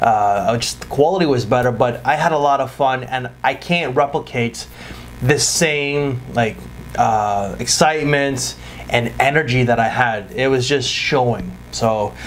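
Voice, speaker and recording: With light background noise behind him, a man talks at a fairly slow pace with ordinary pitch variation. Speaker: fragrance reviewer. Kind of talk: casual vlog chat. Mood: apologetic, a bit disappointed.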